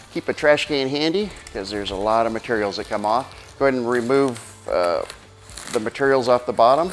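Faint music plays behind a man who talks at a moderate pace. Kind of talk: tutorial. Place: shop.

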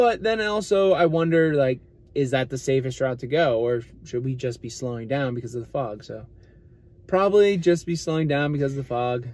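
Lively intonation runs through speech delivered at a fairly quick pace. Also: man, dry sound with no echo. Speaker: channel co-host. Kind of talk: casual vlog chat. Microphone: phone near.

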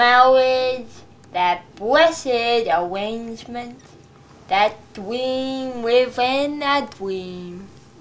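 In a put-on character voice, a female-sounding speaker talks at a very slow pace with a pitch that is high for a woman. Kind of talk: comic wedding sermon. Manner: slow, exaggerated, drawn-out.

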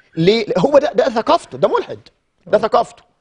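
A man's high-pitched voice at a moderate pace over a quiet background. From Egypt. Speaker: Islamic scholar; guest. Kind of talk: Quran commentary on TV. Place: studio. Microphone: lapel.

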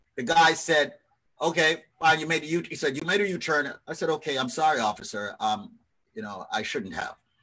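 A man with a New York accent speaks at a moderate pace with a bright, sharp, animated tone. There's vocal fry and lively intonation. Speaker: radio host. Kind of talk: live radio talk show. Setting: video call. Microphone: video call.

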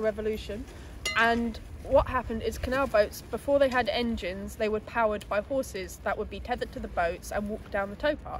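A woman speaks at a moderate pace. The sound is dry with no echo, over light background noise. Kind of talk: interview answer. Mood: friendly, informative. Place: waterside.

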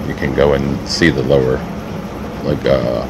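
Background noise is noticeable while the man talks. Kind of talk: tour narration voice-over.

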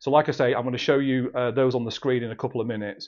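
A man rattles off words at a very fast pace, his intonation fairly even, with quiet all around. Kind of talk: sales update talk to camera. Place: office. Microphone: phone near.

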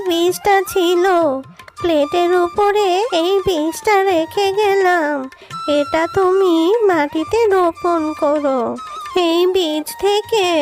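A cartoonish character voice at a very slow pace, with clear music in the background. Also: woman. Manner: gentle, affectionate.

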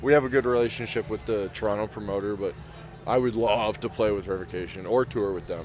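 Very fast speech over music in the background. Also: man, fairly low pitch for a man, ordinary pitch variation. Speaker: metal band musician. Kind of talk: casual interview chat.

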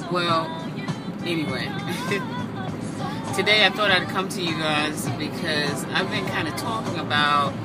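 An American accent amid loud background noise. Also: woman. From Southampton, New York, USA. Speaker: vlogger, local guide to the Hamptons. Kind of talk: casual talk to camera. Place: car. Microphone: phone near.

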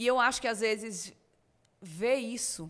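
With a northeastern Brazilian accent, a woman is talking. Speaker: podcast guest. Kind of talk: casual interview. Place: studio. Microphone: studio mic.

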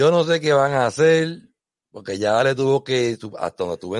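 Against a quiet background, a man with a Puerto Rican accent talks at a fairly slow pace with lively intonation, the sound dry and close with no echo. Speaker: sailing podcast host. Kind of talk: casual chat. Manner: animated.

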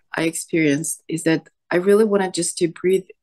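Against a quiet background, a woman speaks at a fairly slow pace, her fairly low voice keeping fairly even intonation. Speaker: coaching client. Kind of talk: personal therapy session. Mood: reflective, emotionally vulnerable. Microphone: video call.

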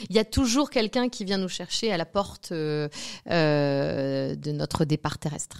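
In a dry, close recording with no echo, a woman with a very deep, low pitch speaks fairly slowly with lively intonation. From Normandy, France. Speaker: medium. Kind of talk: interview. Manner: hesitant, many fillers.

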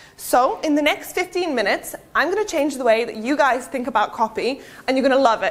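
A woman with a British accent speaks at a fairly quick pace in a high voice, her pitch swinging very widely. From Serbia, raised partly in the UK from age 12. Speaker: digital marketing speaker. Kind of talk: conference talk. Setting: stage with audience. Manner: casual, filler-heavy. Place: hall.

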